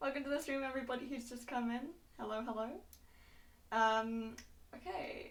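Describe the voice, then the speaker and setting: A loud woman's voice at a high pitch, fairly even in intonation, with long, frequent pauses and audible room echo. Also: moderate pace. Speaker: vtuber streamer hosting a talk show. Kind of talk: casual interview chat. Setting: live stream, Discord call.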